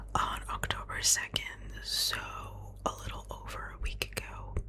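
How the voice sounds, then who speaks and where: Someone whispers, soft-spoken, with noticeable background noise behind. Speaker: ASMR creator. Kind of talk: ASMR whispered ramble to camera, personal life update. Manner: whispered, close-up, soft.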